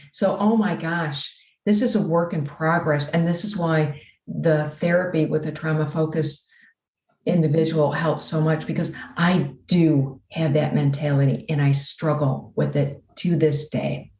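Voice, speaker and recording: Delivered at a fairly slow pace, the somewhat breathy voice has ordinary pitch variation and audible room echo. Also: woman, very deep, low pitch for a woman. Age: 60s. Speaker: abuse survivor and author. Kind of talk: interview.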